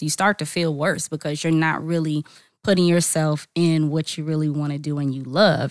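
A woman speaks at a moderate pace with an American accent. Her pitch is very deep and low, and the recording is very clean with a silent background. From Charlotte, North Carolina. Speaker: singer-songwriter. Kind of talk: casual interview. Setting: studio.

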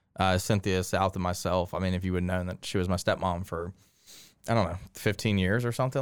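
At a very fast pace, a man with an American accent speaks in a very deep, low pitch, in a very clean recording with a silent background. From Winston-Salem, North Carolina. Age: 30s. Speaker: company CEO and founder. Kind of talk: casual interview chat. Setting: studio.

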